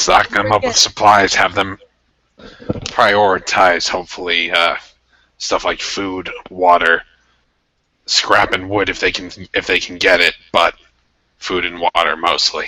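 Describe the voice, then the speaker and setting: In a put-on character voice, a man speaks raspy and very deep at a fairly slow pace, his intonation monotone and flat. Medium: actual play. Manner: blunt, pragmatic.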